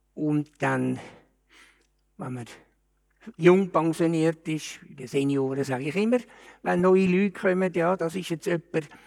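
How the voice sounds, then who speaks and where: Very slowly and with a Zurich accent, a man speaks in a high voice with ordinary pitch variation. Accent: Zurich Swiss German. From Switzerland, Zurich. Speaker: retiree. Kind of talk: casual chat.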